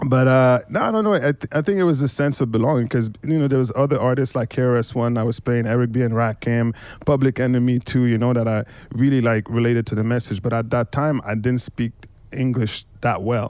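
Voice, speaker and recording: A man with a Quebec accent, medium in pitch, fairly even in intonation, very even in loudness, at a fairly quick pace. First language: French and Haitian Creole. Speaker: hip hop DJ. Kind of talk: casual panel conversation. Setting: bookshop.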